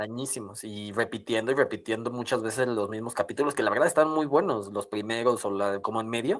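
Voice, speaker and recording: A fairly quick pace with hardly any pauses. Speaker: podcast co-host. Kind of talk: casual chat.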